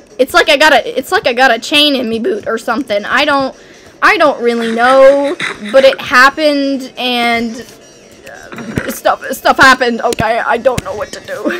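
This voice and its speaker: A woman's raised, projected voice, high in pitch, with ordinary pitch variation and a moderate pace over light background noise. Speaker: gaming streamer. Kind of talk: casual chat. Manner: animated.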